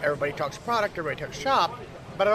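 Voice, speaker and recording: A man is speaking. Crowd noise can be heard behind him. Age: 30s. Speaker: game company demonstrator. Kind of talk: convention interview. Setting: game convention floor.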